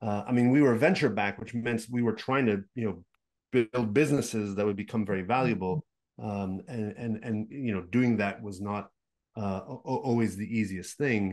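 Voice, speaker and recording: Against a quiet background, a man with a Montreal accent speaks at a moderate pace. His pitch is fairly low, with ordinary variation. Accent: Montreal English (Canadian). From Quebec, Montreal. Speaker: game business consultant and investor; podcast guest. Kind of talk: interview. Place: home room. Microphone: video call.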